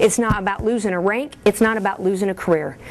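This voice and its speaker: A woman with a strong Kentucky accent. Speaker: military officer. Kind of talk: briefing to an audience. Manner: animated.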